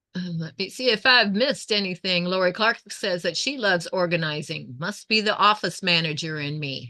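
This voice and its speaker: A woman speaks in a plain, everyday voice at a medium pitch and a moderate pace. Her intonation is lively, with hardly any pauses. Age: 60s. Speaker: quilting YouTuber. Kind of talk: casual live-stream chat while quilting. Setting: home sewing room, live stream.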